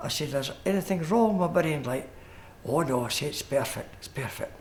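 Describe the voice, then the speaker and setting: Speaking with an East Lothian accent and lively intonation, a man is heard over light background noise. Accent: Scottish, East Lothian. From Scotland, East Lothian (Tranent); Scotland. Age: 70s. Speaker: retired coal miner; interviewee. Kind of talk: interview. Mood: amazed, warm, modest. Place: studio.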